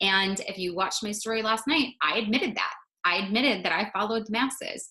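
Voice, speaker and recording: A woman's fairly high voice at a very fast pace. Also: ordinary pitch variation. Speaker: wellness coach. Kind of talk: live stream talk. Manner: casual.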